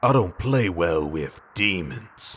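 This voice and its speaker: A man growls in a put-on character voice. His pitch is very deep and low. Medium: audio drama.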